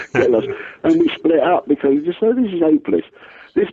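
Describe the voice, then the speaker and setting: Speaking at a fairly quick pace, the man has an English accent. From England. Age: 60s. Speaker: singer-songwriter. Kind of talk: radio interview. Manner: halting, many restarts.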